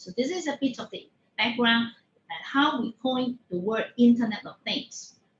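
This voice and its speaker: A woman's high voice, varying in pitch in an ordinary way, proceeds at a moderate pace. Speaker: industry speaker on supply chain technology. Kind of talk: webinar talk. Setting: online webinar. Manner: halting, many fillers.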